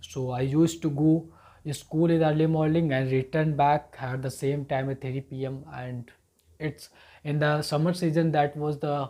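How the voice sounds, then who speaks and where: In an Indian accent, a man speaks at a fairly high pitch with a flat, monotone delivery and a dark, mellow, somewhat breathy tone. The recording is very clean, with a silent background. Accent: Indian English, Hindi-speaking. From rural northern India. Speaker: English learner. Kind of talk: personal story told to camera.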